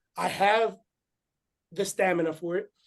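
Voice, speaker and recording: A man with a slight Spanish accent. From Puerto Rico. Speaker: former boxer and growth coach. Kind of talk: interview.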